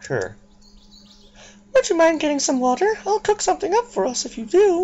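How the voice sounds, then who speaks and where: Putting on a squeaky character voice, a man talks at a moderate pace with an extremely high pitch. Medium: game stream.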